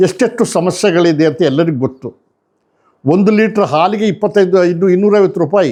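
This man has a dark, mellow tone at a high pitch. His pitch varies in an ordinary way. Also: quiet background. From Karnataka, India (Mudigere, Chikkamagaluru). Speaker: retired army officer. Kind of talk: commentary to camera. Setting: at home.

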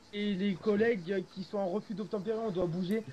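A man talks fairly quickly as background noise remains clearly noticeable. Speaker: gaming roleplay teammate playing a police officer. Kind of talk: casual gaming roleplay chat. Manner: fast.

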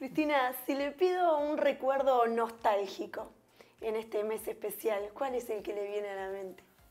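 Fairly slow in pace, a woman's speech has lively intonation. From Uruguay, interior. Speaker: TV interview host. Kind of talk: interview. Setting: guest's home. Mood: warm, smiling, friendly. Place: home room.

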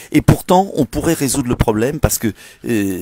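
The recording has a dry sound with no echo. In it, a man speaks fairly quickly. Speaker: politician. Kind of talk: political address on a live stream. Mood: indignant, persuasive. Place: street. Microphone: earbuds.

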